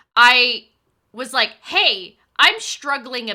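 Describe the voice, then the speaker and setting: The tone is both animated and bright and sharp. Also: woman. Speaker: streamer. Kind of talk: casual chat. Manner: loud.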